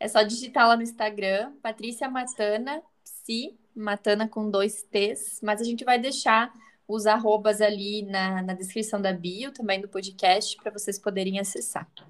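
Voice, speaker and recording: A woman's fairly slow speech in a Santa Catarina accent, fairly high in pitch, with fairly even intonation. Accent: Santa Catarina accent, noticeable. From Brazil, interior of Santa Catarina. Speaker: psychologist. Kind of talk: casual chat.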